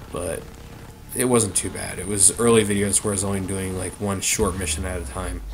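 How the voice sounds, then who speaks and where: In a room with audible echo and noticeable background noise, a man speaks with a very deep, low pitch and fairly even intonation. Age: 20s. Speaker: gaming YouTuber. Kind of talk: let's play commentary. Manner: halting, many fillers; casual rambling.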